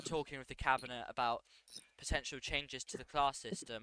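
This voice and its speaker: The sound is dry and close, with no echo. A man speaks at a moderate pace in a medium pitch with a bright, sharp tone. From Britain. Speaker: roleplay politician in online game. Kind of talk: interview.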